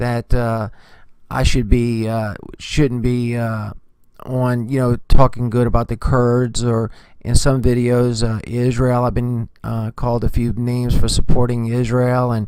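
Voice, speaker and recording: A soft-spoken man at medium pitch, at a fairly slow pace. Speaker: news commentary vlogger. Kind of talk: casual news commentary vlog. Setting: remote location away from home. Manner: hesitant, many filler words.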